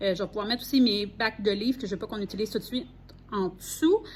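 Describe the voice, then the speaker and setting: A woman with a Quebec accent, fairly high-pitched and somewhat breathy, at a very fast pace with ordinary pitch variation. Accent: Québécois French. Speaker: primary school teacher. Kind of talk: vlog, casual walkthrough. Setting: empty classroom. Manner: casual, hesitant with fillers.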